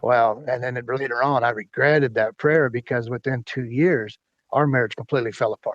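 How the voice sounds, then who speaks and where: A man's normal speaking voice at medium pitch and a fairly quick pace, with a dry, close sound and no echo. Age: 60s. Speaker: former truck driver sharing life story. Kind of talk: podcast interview testimony.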